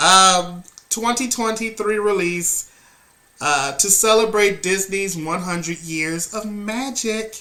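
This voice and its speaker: There is noticeable background noise. Through it, a man talks at a fairly slow pace. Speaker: movie reviewer. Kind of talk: casual review vlog. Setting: at home. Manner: casual, filler-heavy.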